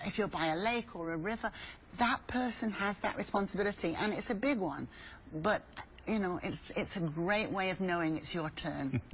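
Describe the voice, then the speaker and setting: In a British accent, a woman speaks at a moderate pace and medium pitch, somewhat breathy, with lively intonation. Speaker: swim school founder. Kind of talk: tv interview.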